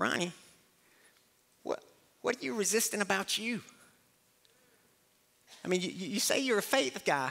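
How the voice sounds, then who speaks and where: A man uses a put-on character voice, squeaky and high in pitch, with lively intonation. He keeps a moderate pace but leaves long, frequent pauses. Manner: probing, questioning.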